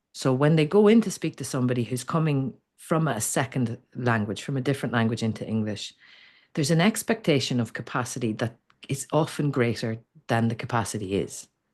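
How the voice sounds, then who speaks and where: Speaking at a fairly quick pace with an Irish accent, the voice has lively intonation over a quiet background. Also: woman, very deep, low pitch for a woman. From Ireland. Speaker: communication coach. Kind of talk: interview conversation. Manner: halting, frequent restarts.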